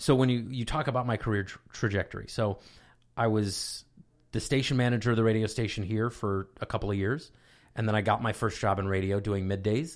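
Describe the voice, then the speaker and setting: On a very clean recording with a silent background, a man with an unremarkable speaking voice talks at a fairly quick pace, his fairly low pitch held in fairly even intonation. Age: 30s. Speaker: college radio station advisor, former radio DJ. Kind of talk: casual interview chat.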